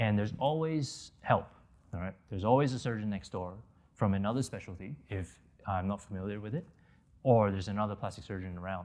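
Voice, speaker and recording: A man with an American accent and an unremarkable speaking voice talks fairly quickly at a fairly low pitch, with ordinary pitch variation against a quiet background. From Malaysia and the US. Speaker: plastic surgeon. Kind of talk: interview.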